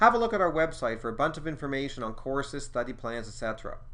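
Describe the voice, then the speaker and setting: This man has an ordinary speaking voice and speaks at a fairly quick pace. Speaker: exam prep school co-director and instructor. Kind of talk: tutorial.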